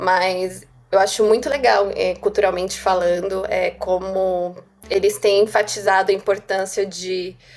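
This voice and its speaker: A woman with a medium pitch speaks in a monotone, flat intonation. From Brazil. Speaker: software developer. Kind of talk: casual interview.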